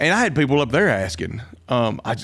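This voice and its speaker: Speaking in a Southern US accent, a man keeps a moderate pace and a medium pitch. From Alabama, US South. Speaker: pastor. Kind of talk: casual interview conversation.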